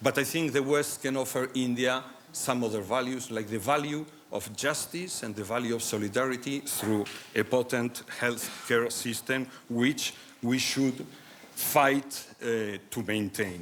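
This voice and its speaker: Noticeable background noise is heard as a man talks at a fairly slow pace. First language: Spanish or Basque. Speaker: medical doctor, conference speaker. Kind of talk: conference talk. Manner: halting, many fillers and restarts.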